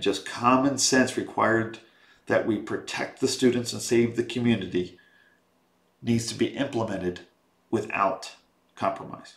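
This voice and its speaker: A man talks at a moderate pace and medium pitch, keeping his intonation fairly even. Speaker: school board member. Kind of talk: reading a prepared statement. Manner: loud; formal.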